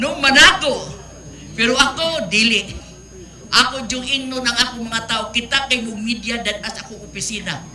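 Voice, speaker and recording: The speech moves at a moderate pace, with ordinary pitch variation and big swings in loudness. Noticeable background noise and audible room echo are present. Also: woman, fairly high pitch for a woman. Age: 70s. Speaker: city government official. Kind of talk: acceptance speech.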